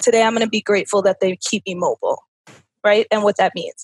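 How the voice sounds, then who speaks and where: This is a woman speaking. The sound is dry and close, with no echo. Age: 30s. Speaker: personal development coach and author. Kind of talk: interview. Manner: animated.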